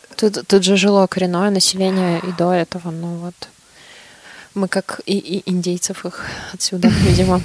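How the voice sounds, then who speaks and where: Recorded with a dry, close sound with no echo, a woman speaks in a flat monotone at medium pitch and a moderate pace, leaving long, frequent pauses. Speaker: podcast co-host. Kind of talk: casual chat.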